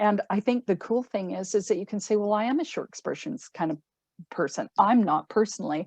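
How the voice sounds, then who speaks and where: A woman with a Canadian accent talks fairly quickly in a plain, everyday voice. Her pitch is medium and her intonation lively. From Canada. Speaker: cruise line sales representative. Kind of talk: sales presentation.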